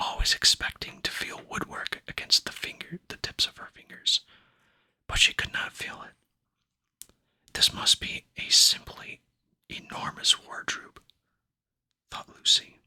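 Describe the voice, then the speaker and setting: Someone is whispering at a fairly slow pace, with long, frequent pauses. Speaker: ASMR book reader. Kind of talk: sleep story book reading. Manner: whispered.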